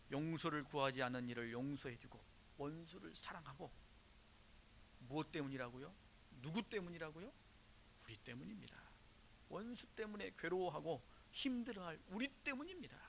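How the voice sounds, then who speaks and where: A man with a slight Jeolla accent talks at a moderate pace and a fairly high pitch, with very wide pitch swings, long, frequent pauses, and audible room echo. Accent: slight Jeolla dialect, grown since moving. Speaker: pastor. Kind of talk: sermon. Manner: rhetorical questions to congregation.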